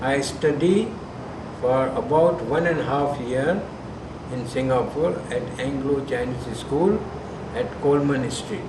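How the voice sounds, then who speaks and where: There is noticeable background noise and audible room echo. A man speaks at a very slow pace with long, frequent pauses. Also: fairly high pitch for a man, ordinary pitch variation. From Sindh, Pakistan (Hyderabad). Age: 70s. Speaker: grandfather interviewed for school project. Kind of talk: interview.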